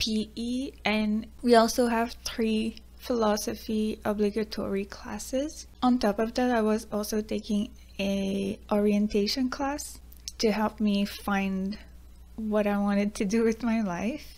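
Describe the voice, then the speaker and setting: A woman's somewhat breathy, fairly high voice at a fairly slow pace, with monotone, flat intonation. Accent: Quebec. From Quebec. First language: French. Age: 20s. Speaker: YouTuber, student. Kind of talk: personal vlog talk.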